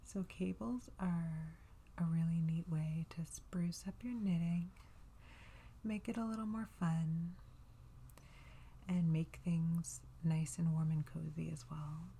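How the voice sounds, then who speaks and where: A soft-spoken, relaxed tone at a very slow pace, with long, frequent pauses. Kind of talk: ASMR knitting tutorial.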